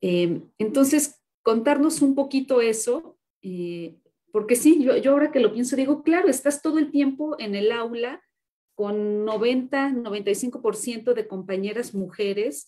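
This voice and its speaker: A woman talks very slowly in a high voice with a dark, mellow tone and lively intonation. The background is quiet. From Mexico. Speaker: moderator. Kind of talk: interview. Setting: video call. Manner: halting. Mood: friendly, relaxed. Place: home room. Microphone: video call.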